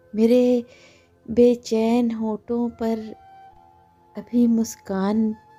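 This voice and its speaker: The woman's voice is fairly high in pitch. Music plays in the background. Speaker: poetry reciter. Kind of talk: poetry reading.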